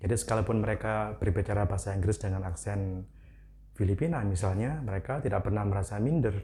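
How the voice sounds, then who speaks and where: Speaking very fast with a Javanese accent, a man uses a fairly low, somewhat breathy voice with ordinary pitch variation and very even loudness. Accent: Javanese accent when speaking English. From Indonesia, Malang, East Java. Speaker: English teacher. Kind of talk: educational talk. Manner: casual, conversational.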